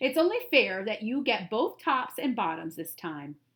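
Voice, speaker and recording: A woman does a put-on character voice at a fairly high pitch. Her pitch swings very wide at a moderate pace. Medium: read story. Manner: upbeat, persuasive.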